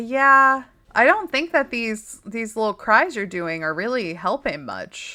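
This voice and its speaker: A woman's fairly high, bright, sharp voice at a fairly slow pace, with very wide pitch swings and big swings in loudness, on a very clean recording with a silent background. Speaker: gamer. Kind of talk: let's play commentary. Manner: casual, chatty.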